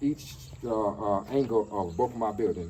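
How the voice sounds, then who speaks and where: The voice is somewhat breathy with a dark, mellow tone, ordinary pitch variation and a fairly quick pace. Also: man. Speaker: vlogger living in Ghana. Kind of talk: casual vlog tutorial. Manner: fast; halting, repeats words.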